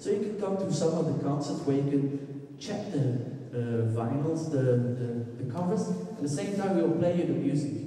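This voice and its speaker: In strong room echo, a man with a Flemish accent talks at a moderate pace. His voice is fairly high, with lively intonation. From Belgium. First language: Dutch. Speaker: musician. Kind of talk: presentation talk. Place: hall. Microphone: handheld.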